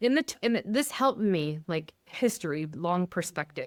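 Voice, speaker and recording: A woman with a plain, everyday voice, fairly low in pitch, with lively intonation and an American accent, in a very clean, dry, close recording with a silent background and no echo. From US Midwest, Michigan. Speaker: pastor. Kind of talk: podcast interview.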